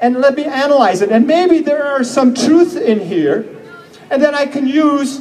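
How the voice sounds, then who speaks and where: Moderately paced speech in an animated tone, with lively intonation over noticeable background noise. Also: man. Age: 60s. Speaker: health seminar speaker. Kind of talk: seminar talk.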